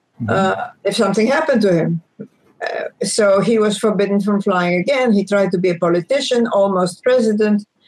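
A fairly quick delivery with a Greek accent. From Egypt, Greek ancestry. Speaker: former space agency scientist and author. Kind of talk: interview.

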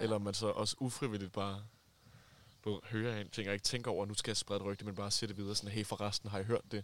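This man speaks very fast in a flat, monotone delivery. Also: fairly low pitch for a man. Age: 20s. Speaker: friend of the hosts. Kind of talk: casual chat. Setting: summer house.

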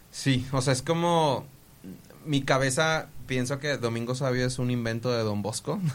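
Speaking fairly slowly, a man keeps a medium pitch that varies in an ordinary way. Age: 20s. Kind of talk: casual podcast chat with storytelling. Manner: halting, with frequent repetitions.

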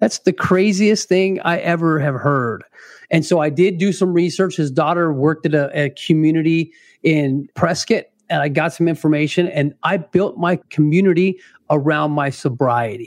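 Against a quiet background, a man with an American accent and an ordinary speaking voice talks at a moderate pace in a fairly high pitch with ordinary pitch variation. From Arizona. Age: 40s. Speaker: retired police officer in recovery. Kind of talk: interview testimony.

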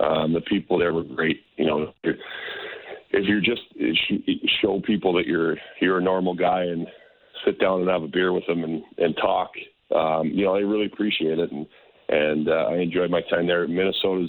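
With a Canadian accent, a man talks at a moderate pace in a very deep, low voice. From Calgary, western Canada. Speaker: former hockey goaltender, TV analyst. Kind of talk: radio interview.

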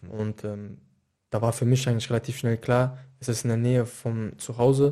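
Against a quiet background, a man speaks at a medium pitch in a dark, mellow tone. His intonation is monotone and flat. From Mainz, Germany. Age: 20s. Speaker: professional footballer. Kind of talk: casual interview.

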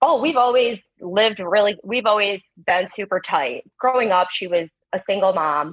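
A woman talks in a plain, everyday voice, medium in pitch with lively intonation. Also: moderate pace. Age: 30s. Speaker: caller, stay-at-home mother. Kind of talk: advice call.

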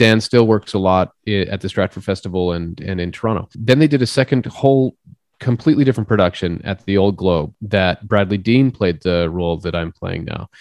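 In a Canadian accent, a man with a plain, everyday voice and a fairly low pitch talks at a fairly quick pace with hardly any pauses and ordinary pitch variation, the sound dry and close with no echo. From Saskatchewan, Canada (small rural town). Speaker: stage actor. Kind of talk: casual interview.

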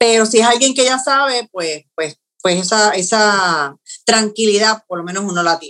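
A woman speaks with a bright, sharp tone at a fairly high pitch. Her pace is moderate, and her loudness swings widely. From Puerto Rico, Yauco. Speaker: TV news producer. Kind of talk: interview. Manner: halting, with frequent repetitions.

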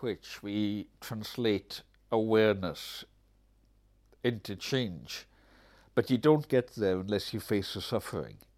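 With a Hebridean accent, a man talks at a fairly slow pace in a fairly low pitch, with ordinary pitch variation and long, frequent pauses. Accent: Hebridean Scottish. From Scotland, Isle of Lewis (Outer Hebrides). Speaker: writer and activist. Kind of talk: interview conversation. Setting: at his home.

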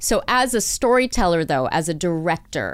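With a Canadian accent, the voice shows vocal fry and very wide pitch swings. The recording is very clean, with a silent background. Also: woman. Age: 40s. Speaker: podcast host. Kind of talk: scripted introduction; interview. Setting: office studio with construction noise. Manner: polished podcast voice.

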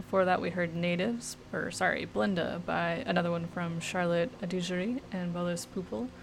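A woman speaks in a fairly low voice with a somewhat breathy quality. Her pace is moderate. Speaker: radio DJ. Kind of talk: radio DJ patter between songs, announcing tracks and artists. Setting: radio studio broadcast. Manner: casual, laid-back, filler-heavy with frequent 'uh' and self-corrections.

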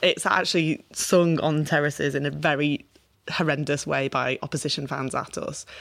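Fairly even intonation at a moderate pace, in a Liverpool accent. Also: woman, very deep, low pitch for a woman. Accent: Liverpool (Scouse). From Merseyside, England. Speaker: politician. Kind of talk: interview.

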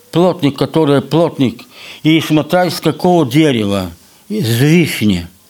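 Man's fairly high voice with lively intonation at a very slow pace. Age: 80s+. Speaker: folk instrument maker and musician. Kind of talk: casual interview. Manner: halting.

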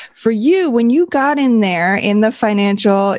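A woman speaks at a fairly slow pace in a fairly high pitch, with lively intonation. Hers is an ordinary speaking voice. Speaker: podcast co-host. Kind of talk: podcast hosting, interview.

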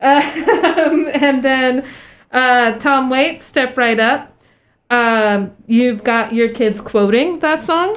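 A woman with a high pitch and a warm tone speaks at a very slow pace, keeping her loudness very even, with ordinary pitch variation. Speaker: radio host. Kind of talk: casual radio hosting. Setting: radio studio. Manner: friendly, warm, giggly.

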